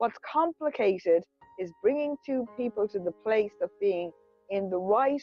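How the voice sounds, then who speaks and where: A woman speaks at a fairly slow pace in a medium pitch, with music playing in the background. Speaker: women's empowerment coach. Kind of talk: casual conversation explaining a program. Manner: relaxed.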